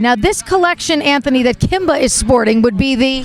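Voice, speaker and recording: Enthusiastic and lively, a woman talks at a fairly quick pace in a high voice over noticeable background noise. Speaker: pet lifestyle show host. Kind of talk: interview questions on camera.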